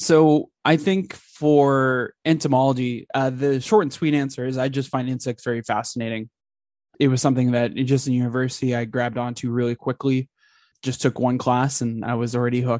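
Fairly quick and fairly even in intonation, an unremarkable speaking voice with a Canadian accent comes through dry and close with no echo over a quiet background. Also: man, medium pitch for a man. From Alberta, Canada. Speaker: entomology graduate researcher. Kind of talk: interview.

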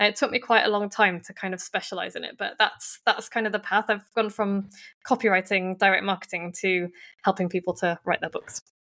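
With big swings in loudness, a woman speaks fairly quickly at medium pitch in a bright, sharp tone, on a very clean recording with a silent background and a dry, close sound with no echo. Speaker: book coach and ghostwriter. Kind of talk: casual interview chat. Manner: animated, humorous.

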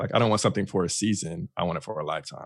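He has an ordinary speaking voice with an American accent. His pitch is fairly low, and his intonation is lively. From Texas, Fort Worth. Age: 30s. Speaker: student affairs worker. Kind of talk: casual chat.

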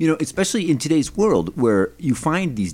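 Very wide pitch swings run through this voice with an American accent. The pace is very fast. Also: man. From Rochester, New York, US. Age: 40s. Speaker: radio guest, conspiracy theorist. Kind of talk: casual interview chat. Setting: radio studio.

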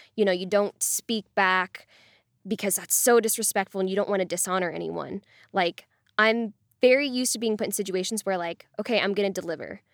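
A woman with an ordinary speaking voice, medium pitch, fairly even intonation and a fairly quick pace, in a dry, close sound with no echo on a very clean recording with a silent background. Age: 20s. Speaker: podcast host interviewed about workplace sexism. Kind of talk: interview.

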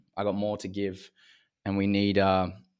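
Over a silent background in a very clean recording, a man with an Australian accent speaks at a fairly low pitch. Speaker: men's coach, former semi-pro athlete. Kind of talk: interview conversation.

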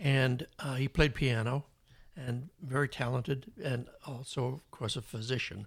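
Somewhat breathy, a man at medium pitch speaks at a fairly slow pace. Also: ordinary pitch variation. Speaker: podcast guest, father of the host. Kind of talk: casual interview chat.

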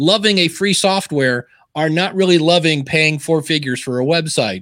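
Lively intonation marks a man's unremarkable speaking voice, pitched fairly high and set at a moderate pace. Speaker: podcaster and author. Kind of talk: casual interview chat. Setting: live stream video call.

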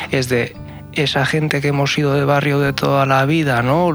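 With noticeable noise behind him, a man talks at a moderate pace in a fairly high voice. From Basque Country, San Sebastián. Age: young. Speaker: community project facilitator. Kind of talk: radio panel discussion. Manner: halting.

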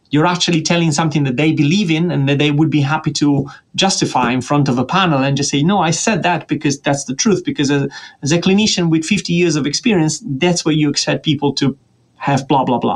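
A man with an Italian accent talks at a very fast pace, his loudness staying very even throughout. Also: fairly high pitch for a man, ordinary pitch variation. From Italy (Tuscany, Florence). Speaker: statistics professor. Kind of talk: interview.

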